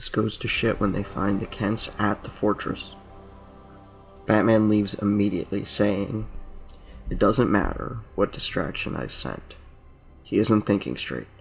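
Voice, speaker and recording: Fairly slow speech with long, frequent pauses and ordinary pitch variation, music playing in the background. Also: man. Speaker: YouTube commentator. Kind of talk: video game story explainer.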